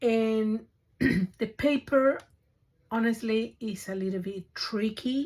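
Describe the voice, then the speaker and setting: Speaking at a very slow pace, a woman uses a fairly high pitch with ordinary pitch variation. Her voice is somewhat breathy. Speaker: craft YouTuber. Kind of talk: tutorial. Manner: halting.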